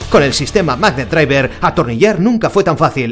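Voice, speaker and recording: Over music in the background, a man talks at a moderate pace in an upbeat tone, his pitch swinging very widely. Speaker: voice actor. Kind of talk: TV shopping commercial read. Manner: upbeat, persuasive.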